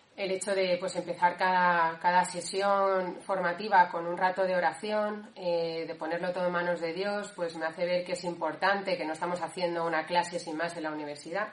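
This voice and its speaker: A woman's fairly low, monotone, flat voice at a moderate pace with hardly any pauses, over noticeable background noise. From Valencia, Spain. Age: 30s. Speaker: discipleship school participant. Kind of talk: personal testimony.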